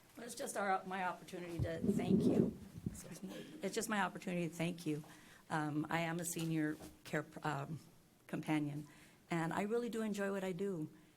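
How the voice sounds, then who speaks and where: Amid noticeable background noise and audible room echo, a woman with an American accent speaks at a moderate pace and fairly low pitch, using long, frequent pauses. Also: ordinary pitch variation. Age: 60s. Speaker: senior companion volunteer. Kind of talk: public comment at a meeting. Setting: county commissioners court meeting. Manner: halting.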